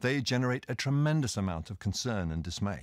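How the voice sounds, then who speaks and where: With a British accent, a man talks at a fairly quick pace with lively intonation, his sound dry with no echo and the background quiet. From Britain. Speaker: senior government official. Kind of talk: prepared speech. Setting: recorded video message. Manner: formal.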